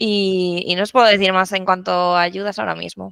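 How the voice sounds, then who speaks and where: A woman with a La Mancha accent speaks at a medium pitch in a bright, sharp tone. The recording is very clean, with a silent background and a dry, close sound with no echo. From La Mancha, Spain. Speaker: renewable energy technical support specialist. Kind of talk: podcast interview.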